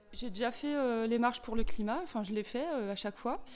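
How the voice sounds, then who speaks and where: This woman has an ordinary speaking voice. Her pitch is fairly high. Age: 40s. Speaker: volunteer activist, logistics. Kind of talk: interview.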